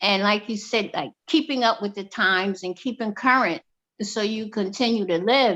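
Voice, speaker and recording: In a normal speaking voice, a woman talks fairly slowly at a fairly high pitch with ordinary pitch variation. The recording is very clean, with a silent background. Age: 60s. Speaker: discussion group member. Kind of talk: casual discussion.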